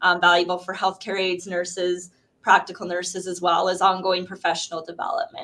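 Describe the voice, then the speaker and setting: A woman talks at a fairly quick pace with a medium pitch. Her intonation is monotone and flat. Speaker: nurse researcher. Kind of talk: conference talk and Q&A. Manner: fast.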